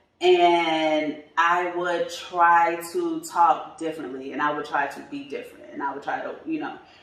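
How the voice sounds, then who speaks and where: Noticeable background noise and audible room echo surround a woman who speaks at a fairly slow pace with hardly any pauses. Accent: American. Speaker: tax business coach. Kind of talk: podcast interview. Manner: casual, informal speech with fillers.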